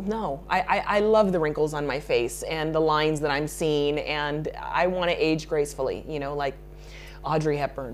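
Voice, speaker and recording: Moderately paced speech from a woman, noticeable background noise behind her. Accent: American. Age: 30s. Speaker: makeup artist. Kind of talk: interview.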